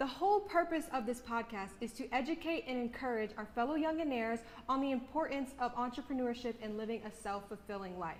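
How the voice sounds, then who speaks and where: Fairly quick and lively in intonation, the speech runs with hardly any pauses over noticeable background noise. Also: woman, high pitch for a woman. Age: 20s. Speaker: podcast co-host. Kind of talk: casual chat. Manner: animated.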